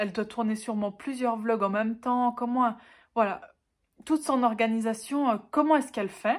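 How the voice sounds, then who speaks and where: Her voice is high in pitch with ordinary variation, and the woman is heard on a very clean recording with a silent background. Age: 20s. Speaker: book YouTuber. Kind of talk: casual talk to camera.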